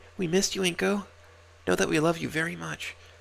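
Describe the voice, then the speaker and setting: A man puts on a raspy character voice, talking at a very fast pace and a fairly high pitch. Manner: sweet, motherly.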